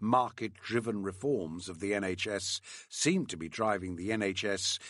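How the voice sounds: A voice reading naturally, its pitch rising and falling as usual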